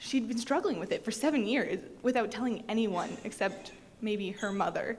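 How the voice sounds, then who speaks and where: A woman's fairly high voice in an American accent at a moderate pace, with noticeable background noise. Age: 20s. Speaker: patient speaker. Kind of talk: testimony.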